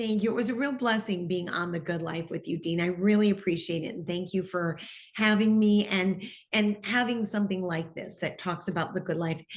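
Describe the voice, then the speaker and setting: A woman speaks at medium pitch with an American accent. Her voice is somewhat breathy, with ordinary pitch variation. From US Midwest, Detroit, Michigan. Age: 60s. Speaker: TV personality. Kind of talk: interview testimony.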